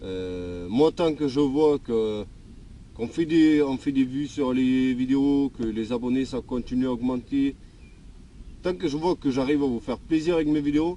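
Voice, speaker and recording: A man speaks at a fairly slow pace in a medium-pitched voice of dark, mellow tone, with ordinary pitch variation. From Denmark, then southern France from age 14. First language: Danish (speaking French). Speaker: YouTuber, mechanic vlogger. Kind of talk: casual Q&A answering viewer questions. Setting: outdoors. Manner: hesitant, many fillers.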